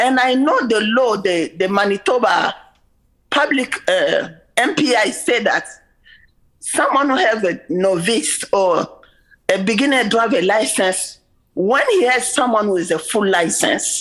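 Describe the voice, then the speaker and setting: The voice has lively intonation and very even loudness, delivered at a fairly slow pace. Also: woman, fairly high pitch for a woman. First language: French. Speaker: member of the public presenting to a legislative committee. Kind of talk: public testimony. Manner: halting, with many repetitions and fillers.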